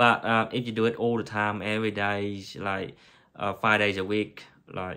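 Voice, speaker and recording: Speaking at a moderate pace in a Vietnamese accent, a man has a fairly low pitch, a bright, sharp tone and monotone, flat intonation. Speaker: anaesthetic technician. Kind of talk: tutorial. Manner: halting.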